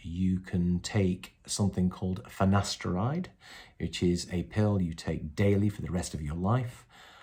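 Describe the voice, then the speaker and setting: A man's very deep, low voice, dark and mellow in tone and somewhat breathy, at a fairly slow pace on a very clean recording with a silent background. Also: ordinary pitch variation. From North West England. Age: 40s. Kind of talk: casual talk to camera. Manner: hesitant, conversational.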